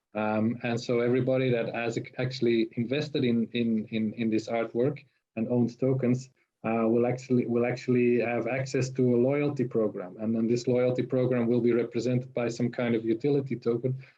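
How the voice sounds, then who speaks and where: A man with a non-native accent speaks fairly quickly at a medium pitch in a monotone, flat way. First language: not English. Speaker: tokenization consultant. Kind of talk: webinar panel discussion. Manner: halting, many fillers and repetitions.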